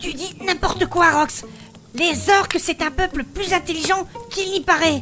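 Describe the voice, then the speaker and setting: A woman performs a put-on character voice at an extremely high pitch and a moderate pace. Clear music plays in the background. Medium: audio drama.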